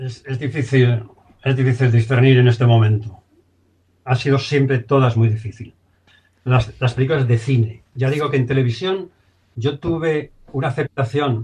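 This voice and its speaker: With long, frequent pauses, a man speaks at a medium pitch and moderate pace in a somewhat breathy, dark, mellow tone with fairly even intonation. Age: 70s. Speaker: film director. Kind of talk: interview.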